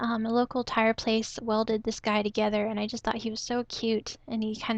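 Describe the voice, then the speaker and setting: Soft-spoken and monotone, a woman talks with flat intonation at a moderate pace and fairly high pitch. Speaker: photography hobbyist / vlogger. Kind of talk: casual talk to camera.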